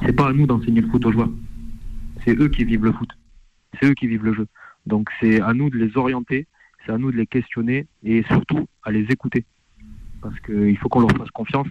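A man speaks at a medium pitch and a moderate pace with fairly even intonation and long, frequent pauses. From France. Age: 30s. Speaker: assistant football coach. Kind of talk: radio interview.

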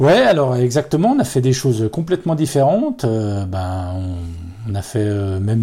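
The voice has a dark, mellow tone and is somewhat breathy. It moves at a fairly slow pace. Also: man. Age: 40s. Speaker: accordionist in a folk band. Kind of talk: interview. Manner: hesitant, many fillers.

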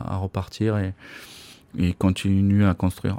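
A man talks at a moderate pace in a fairly low, dark, mellow tone with monotone, flat intonation. The sound is dry and close with no echo, on a very clean recording over a silent background. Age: 50s. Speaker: ice hockey coach. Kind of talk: interview. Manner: halting.

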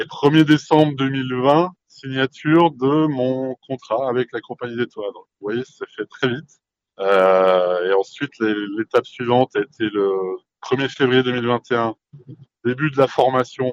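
A man's medium-pitched voice at a very slow pace, with ordinary pitch variation and a dry, close sound with no echo. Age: 40s. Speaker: franchise owner. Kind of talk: interview. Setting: podcast microphone. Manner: halting, many fillers and repetitions.

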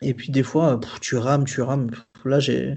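A man at medium pitch talks with monotone, flat intonation. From southern France. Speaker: graphic designer. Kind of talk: casual chat. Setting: remote interview. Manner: halting.

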